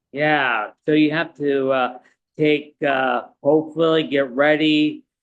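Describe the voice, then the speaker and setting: A man's fairly high-pitched voice, very slow, very even in loudness, with monotone, flat intonation. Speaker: soccer podcast co-host. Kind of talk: casual chat.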